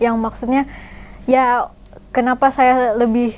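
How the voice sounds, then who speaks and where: Over noticeable background noise, a woman with a Jakarta accent speaks at a moderate pace in a high pitch. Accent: Jakarta-style. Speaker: painter and artist. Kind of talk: casual interview chat.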